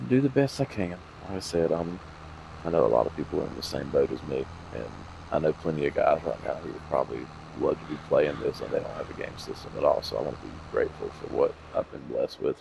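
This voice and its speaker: Someone with a Southern US accent speaks in big swings of loudness over noticeable background noise. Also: man. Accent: southern drawl. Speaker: gaming video creator. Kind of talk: gameplay commentary. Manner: low, lazy-sounding speech.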